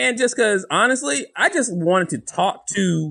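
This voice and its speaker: Upbeat and energetic, a man speaks with a slight Southern US accent. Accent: Southern US, light twang. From US South. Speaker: podcast co-host, former salesman. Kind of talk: casual interview chat. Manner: upbeat, energetic, shoots from the hip.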